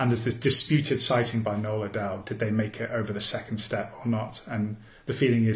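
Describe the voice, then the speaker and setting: The voice is somewhat breathy, delivered at a fairly quick pace in a monotone, flat intonation. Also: man. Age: 40s. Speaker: journalist and author. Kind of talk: interview.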